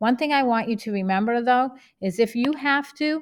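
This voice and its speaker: A woman with an American accent, lively intonation and a fairly quick pace. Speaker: math teacher. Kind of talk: tutorial.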